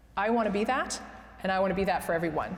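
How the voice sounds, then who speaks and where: Noticeable background noise and audible room echo fill this recording. A woman speaks with ordinary pitch variation. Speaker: entrepreneur. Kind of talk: interview.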